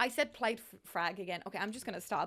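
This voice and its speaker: An animated woman talks at a very fast pace. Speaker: gaming YouTuber. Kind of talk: casual gameplay commentary. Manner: stumbling over words.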